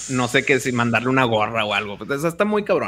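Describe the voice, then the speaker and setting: A man with a Mexican accent speaks at a medium pitch in a bright, sharp tone. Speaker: podcaster and video producer. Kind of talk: casual chat.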